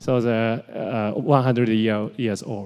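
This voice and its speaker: A man speaks very slowly with a Japanese accent, his tone dark and mellow. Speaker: medtech innovation leader. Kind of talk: conference talk. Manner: halting.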